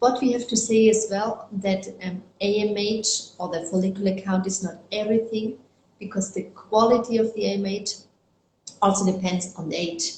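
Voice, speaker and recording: A woman in a German accent with monotone, flat intonation. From Germany. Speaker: fertility doctor. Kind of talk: interview. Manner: halting, with fillers.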